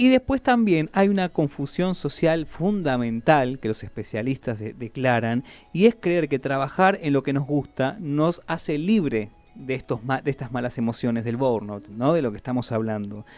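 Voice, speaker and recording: Music plays behind a male speaker whose voice sits fairly high. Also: lively intonation, moderate pace. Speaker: radio host. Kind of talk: radio talk segment. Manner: conversational, explanatory.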